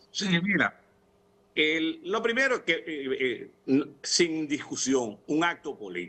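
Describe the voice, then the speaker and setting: A man with a fairly high pitch and a bright, sharp tone speaks at a very slow pace. His pitch swings very widely. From Dominican Republic. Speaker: opposition party leader; TV guest. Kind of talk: political debate panel. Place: home room. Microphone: video call.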